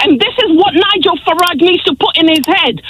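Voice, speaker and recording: An angry woman with an extremely high voice is heard over noticeable background noise. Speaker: radio caller. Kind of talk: radio phone-in call. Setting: phone line. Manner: angry, impassioned.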